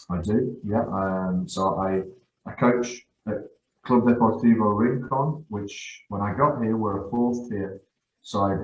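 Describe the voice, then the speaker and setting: At a very slow pace, a man speaks in a somewhat breathy voice, fairly low in pitch, with ordinary pitch variation. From Guernsey, born in northeast England. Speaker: football coach. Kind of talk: podcast interview. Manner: halting, many repetitions.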